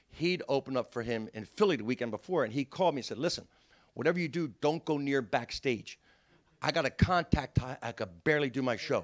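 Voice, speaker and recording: In a South Jersey accent, a man talks at a very fast pace with a fairly high pitch and lively intonation. The recording is very clean and silent behind him, with a dry, close sound and no echo. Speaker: comedian. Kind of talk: storytelling.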